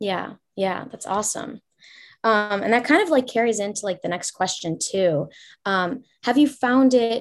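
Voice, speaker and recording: A woman speaks in a normal speaking voice at a moderate pace. Her pitch is fairly high, and her intonation is lively. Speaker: college student interviewer. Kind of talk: interview for class project. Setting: video call.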